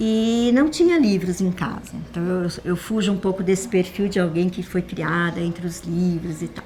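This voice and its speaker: Against noticeable background noise, a woman talks at a medium pitch with hardly any pauses. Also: ordinary pitch variation, moderate pace. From Brazil, São Paulo. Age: 60s. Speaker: literature teacher and reading mediator. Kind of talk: testimony. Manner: conversational, frequent 'né?' tags and self-restarts.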